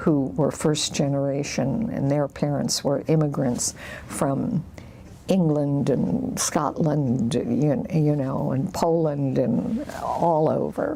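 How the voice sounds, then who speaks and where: A woman's very deep, low voice at a very slow pace, with very even loudness and noticeable background noise. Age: 70s. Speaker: oral history interviewee. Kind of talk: oral history interview. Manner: halting, many fillers.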